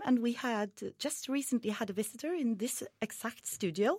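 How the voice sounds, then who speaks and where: Lively intonation marks a woman's fairly high voice in a Norwegian accent. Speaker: student radio host. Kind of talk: live radio interview. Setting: studio.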